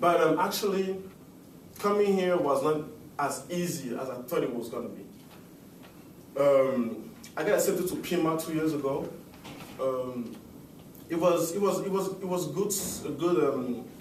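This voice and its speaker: The speaker talks at a moderate pace in a Cameroonian French accent, with ordinary pitch variation. Long, frequent pauses break up the speech, and room echo is audible. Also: man, fairly high pitch for a man. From Cameroon (Yaoundé). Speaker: student. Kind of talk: class speech. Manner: halting, many fillers.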